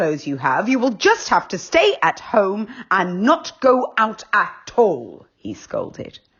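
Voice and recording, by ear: A passage is being read aloud in a natural voice.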